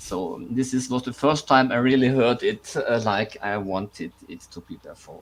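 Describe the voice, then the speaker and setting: A non-native accent, a fairly slow pace and ordinary pitch variation. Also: man. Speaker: composer. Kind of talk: panel discussion.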